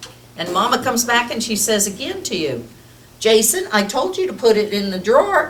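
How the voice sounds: It's a natural reading voice.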